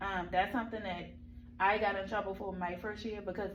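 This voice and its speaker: A woman speaks at medium pitch with vocal fry. The room echo is audible. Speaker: teacher mentor giving classroom observation feedback. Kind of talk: feedback meeting. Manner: fast.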